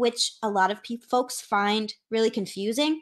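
A woman speaks at a fairly slow pace in a normal speaking voice. Her pitch sits fairly high, and the background is quiet. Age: 20s. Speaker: anthropologist of religion, PhD candidate. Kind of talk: interview. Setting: video call.

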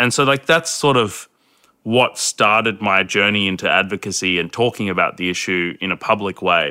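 This man has an Australian accent and a fairly low pitch, with ordinary pitch variation. His tone is bright and sharp, and he talks at a moderate pace. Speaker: anti-domestic violence advocate. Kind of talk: casual chat. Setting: remote call.

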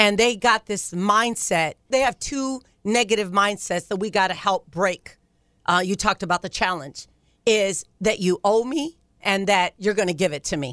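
A plain, everyday voice from a woman at medium pitch, lively in intonation, at a moderate pace, in a very clean recording with a silent background. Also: dry, close sound with no echo. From Ohio. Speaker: nonprofit founder and pastor. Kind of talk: radio interview.

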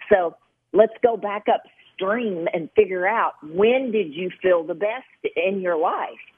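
In a Kentucky accent, a woman speaks very slowly at medium pitch with ordinary pitch variation. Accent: Southern US (Kentucky). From Western Kentucky. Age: 50s. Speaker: nurse practitioner and author. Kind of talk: interview. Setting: radio interview.

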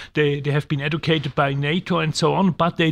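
In an ordinary speaking voice, this speaker talks at a moderate pace with fairly even intonation on a very clean recording with a silent background. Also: man. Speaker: newspaper editor. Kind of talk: casual chat.

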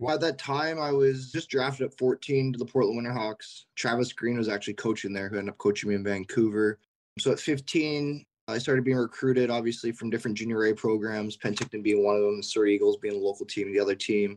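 Delivered at a very fast clip with a western Canadian accent, the speech has ordinary pitch variation. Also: man, medium pitch for a man. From Canada, Richmond, British Columbia. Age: 20s. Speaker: professional hockey player. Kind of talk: interview.

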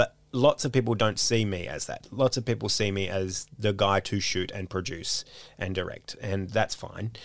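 In a very clean recording with a silent background, a man with an Australian accent speaks at a moderate pace, his fairly low voice keeping a fairly even intonation. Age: 30s. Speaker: comedian. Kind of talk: casual chat.

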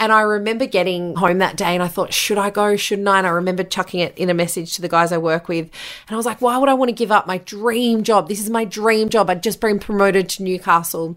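With an Australian accent, a woman speaks at a very fast pace with hardly any pauses. Her medium pitch holds a fairly even intonation. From Australia, New South Wales (Bathurst). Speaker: podcast host and former radio host. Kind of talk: solo podcast monologue, personal storytelling.

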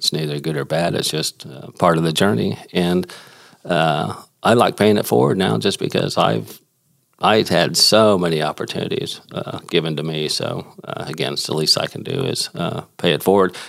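A man's very deep, low voice in an American accent, with vocal fry, lively intonation and a moderate pace. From Houston, Texas. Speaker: inventor. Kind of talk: interview conversation.

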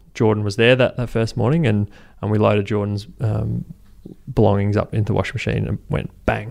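A man at a fairly quick pace, fairly low in pitch with ordinary pitch variation. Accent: Australian. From Brisbane, Australia. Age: 20s. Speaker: charity co-founder. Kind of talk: interview. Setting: office.

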